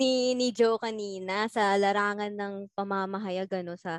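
A woman speaks at a fairly slow pace and medium pitch, with fairly even intonation. It is an unremarkable speaking voice against a quiet background. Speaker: university student. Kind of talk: casual chat.

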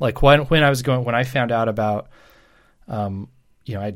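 A man with a normal speaking voice talks at a fairly quick pace with fairly even intonation. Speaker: pastor. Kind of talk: casual chat.

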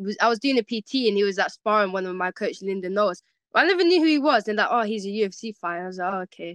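Someone with a London accent talks at a very fast pace, the sound dry and close with no echo over a quiet background. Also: woman, medium pitch for a woman, ordinary pitch variation. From West London. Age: 20s. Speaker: MMA fighter. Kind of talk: casual interview.

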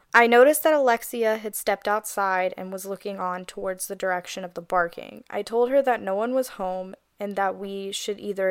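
A woman with a normal speaking voice talks fairly quickly at a medium pitch, with ordinary pitch variation, big swings in loudness and hardly any pauses, in a very clean recording with a silent background. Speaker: podcast host. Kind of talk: casual podcast chat with reading Reddit stories aloud. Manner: playful, laughing banter.

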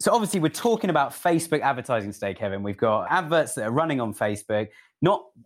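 With a British accent, a man talks very fast at a medium pitch, his voice making very wide pitch swings on a very clean recording with a silent background. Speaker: podcast host. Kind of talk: casual interview chat. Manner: fast talker.

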